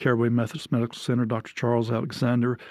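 A man with an Alabama accent and flat, monotone intonation, in a very clean recording with a silent background. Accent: Southern US (Alabama). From Alabama (near Birmingham). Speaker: retired pastor. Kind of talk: casual interview.

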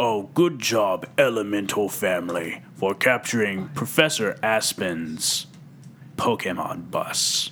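A man puts on a gravelly character voice with lively intonation, pitched fairly low and moving at a fairly slow pace. Background noise is clearly audible.

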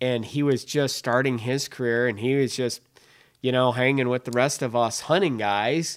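Heard on a very clean recording with a silent background, a man with a medium pitch speaks in a Minnesotan accent. His pace is moderate, his intonation fairly even and his loudness very even. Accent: Minnesota. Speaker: hunting podcast host. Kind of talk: casual interview chat. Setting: studio.

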